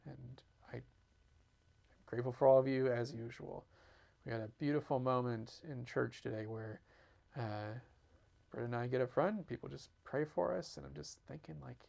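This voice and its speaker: Using a dark, mellow tone at a medium pitch, a man speaks at a moderate pace with lively intonation, big swings in loudness, and long, frequent pauses. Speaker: video diary host sharing family medical updates. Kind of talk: personal video update. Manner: rambling, halting.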